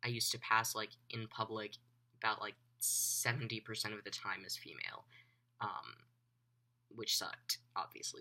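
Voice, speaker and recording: Male speaker at a moderate pace with long, frequent pauses. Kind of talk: casual vlog update. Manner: halting, many fillers.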